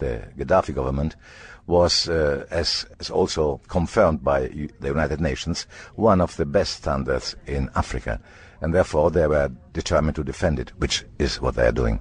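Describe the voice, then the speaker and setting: Very deep, low male speech at a moderate pace, with vocal fry and ordinary pitch variation. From Italy. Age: 70s. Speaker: journalist. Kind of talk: interview answer.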